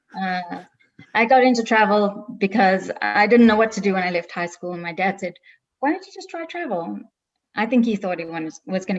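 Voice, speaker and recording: A woman with a South African accent talks at a moderate pace. Her pitch is medium, with ordinary pitch variation. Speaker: travel agency owner. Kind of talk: webinar interview.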